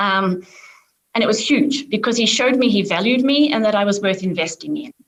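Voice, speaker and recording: An Australian accent colors this woman's fairly quick speech, which has lively intonation. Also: fairly high pitch for a woman. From Australia, suburban Melbourne. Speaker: corporate lawyer and diversity leader. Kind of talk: panel discussion.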